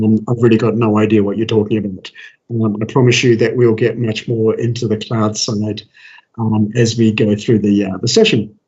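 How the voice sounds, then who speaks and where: With an Australian accent, a man talks in a monotone, flat intonation at a medium pitch. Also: moderate pace. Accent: Australian, per own remark. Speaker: developer advocate, tech speaker. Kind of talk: technical presentation. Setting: video call. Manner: casual, with many fillers and restarts.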